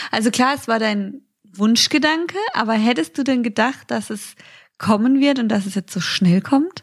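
Somewhat breathy and fairly high, a woman's voice moves at a moderate pace with lively intonation. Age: 20s. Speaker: podcast co-host. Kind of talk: casual chat.

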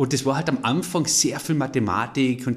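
An unremarkable speaking voice from a man, medium in pitch, fairly quick in pace, with ordinary pitch variation. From Austria, Carinthia. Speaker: entrepreneur. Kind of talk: interview.

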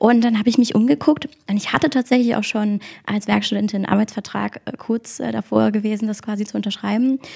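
Very fast and somewhat breathy, the voice has a dark, mellow tone and ordinary pitch variation. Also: woman, fairly high pitch for a woman. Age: 20s. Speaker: online marketing employee and student. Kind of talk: interview. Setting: company office.

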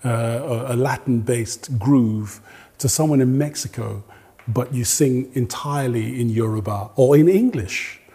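A man's somewhat breathy, medium-pitched voice with a dark, mellow tone, ordinary pitch variation, and a fairly slow pace. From Nigeria. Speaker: jazz and soul singer. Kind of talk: interview.

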